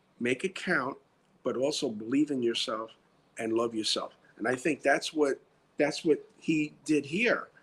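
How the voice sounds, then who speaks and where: Here a man speaks at a fairly slow pace in a New York accent, his pitch fairly high with ordinary variation. The recording is very clean, with a silent background. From US Northeast, New York (South Bronx). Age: 60s. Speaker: retired security director turned writer and actor. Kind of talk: interview. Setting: live stream.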